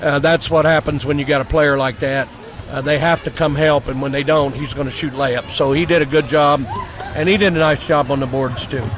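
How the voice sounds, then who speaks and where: Over noticeable background noise, a man talks at a fairly high pitch with fairly even intonation. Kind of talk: post-game coach interview. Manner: casual, plain-spoken, with filler words.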